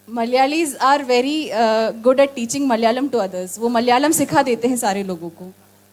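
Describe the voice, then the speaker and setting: A woman with a coastal Karnataka accent speaks at a moderate pace with hardly any pauses. Her pitch is high with ordinary variation, and her loudness swings widely. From Karnataka, India. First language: Tulu (speaking Hindi). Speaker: interpreter. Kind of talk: live interpretation of a speech. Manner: halting.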